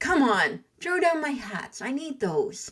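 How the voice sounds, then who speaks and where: Doing a put-on character voice, a woman speaks fairly slowly at a high pitch with very wide pitch swings. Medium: read story. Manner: sing-song street calls.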